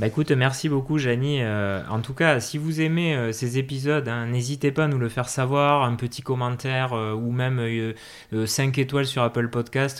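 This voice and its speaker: The recording is very clean with a silent background. A man at medium pitch speaks at a moderate pace with fairly even intonation. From southwestern France (Hautes-Pyrénées). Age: 30s. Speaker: podcast host. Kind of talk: casual interview chat. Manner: halting, many hesitations.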